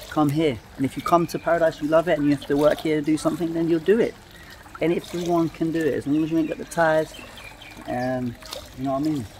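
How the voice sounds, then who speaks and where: A man at a very fast pace with ordinary pitch variation, over light background noise. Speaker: travel vlogger. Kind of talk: casual vlog chat. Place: garden. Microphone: phone near.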